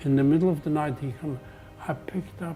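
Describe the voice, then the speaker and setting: Behind the speech, music plays. The man's pitch varies in an ordinary way. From Poland. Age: 80s+. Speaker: Holocaust survivor. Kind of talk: interview answer.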